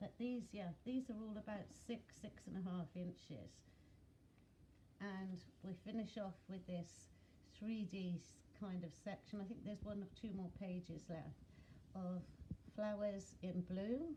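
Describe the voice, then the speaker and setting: Somewhat breathy and dark, mellow in tone, the voice moves at a fairly slow pace with ordinary pitch variation and long, frequent pauses. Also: woman, medium pitch for a woman. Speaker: craft video maker. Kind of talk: craft flip-through tutorial. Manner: casual with fillers.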